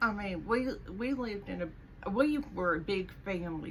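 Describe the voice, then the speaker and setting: Lively intonation marks this woman's medium-pitched voice at a moderate pace. Noticeable background noise and audible room echo are present. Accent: American. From US South. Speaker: vlogger. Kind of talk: casual vlog monologue. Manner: chatty, with fillers and restarts; sarcastic.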